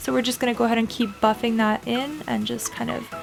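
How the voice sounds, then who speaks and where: Music is heard in the background. Over it, a woman talks. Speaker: makeup tutorial host. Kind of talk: makeup tutorial talk to camera.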